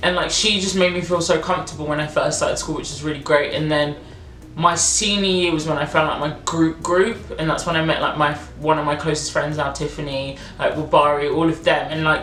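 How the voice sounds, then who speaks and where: An animated woman's very deep, low voice at a fairly quick pace, with audible room echo and noticeable background noise. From England, Nigerian heritage. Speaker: YouTuber. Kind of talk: casual chat.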